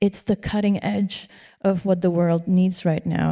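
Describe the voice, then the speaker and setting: This woman's voice has a dark, mellow tone, fairly even intonation and a Spanish accent. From Spain. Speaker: architectural historian. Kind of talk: panel discussion.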